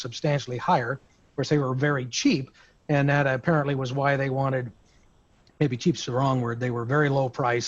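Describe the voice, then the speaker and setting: A man talks at a very fast pace with fairly even intonation. His voice is fairly high-pitched and somewhat breathy. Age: 60s. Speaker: insurance broker. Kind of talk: roundtable discussion. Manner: halting.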